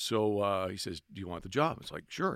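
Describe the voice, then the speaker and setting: With a Cape Breton accent, a man speaks at a fairly low pitch and moderate pace, his intonation lively. The very clean recording has a silent background and a dry, close sound with no echo. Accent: Cape Breton Canadian English. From Cape Breton, Nova Scotia. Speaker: hockey PA announcer. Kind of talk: casual chat. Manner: animated.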